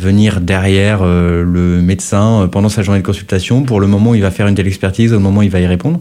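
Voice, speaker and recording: Here a man talks at a fairly quick pace, with a fairly low pitch, a dark, mellow tone and ordinary pitch variation. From France, Lyon area. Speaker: health tech startup founder. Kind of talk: podcast interview.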